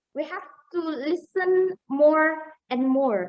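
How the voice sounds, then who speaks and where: A woman with a South Sulawesi accent. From Sulawesi, Bugis. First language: Bugis (speaking Indonesian). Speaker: webinar speaker. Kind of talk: webinar talk.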